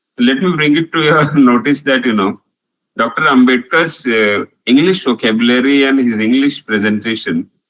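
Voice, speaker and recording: Speaking with a Marathi accent, a man uses a medium pitch, ordinary pitch variation and a moderate pace, recorded with a dry, close sound and no echo. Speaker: professor. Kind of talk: online lecture with Q&A. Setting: online video call.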